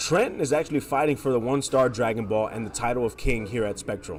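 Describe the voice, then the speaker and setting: Music behind a man's fairly quick speech. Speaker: tournament commentator. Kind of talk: live commentary. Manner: casual.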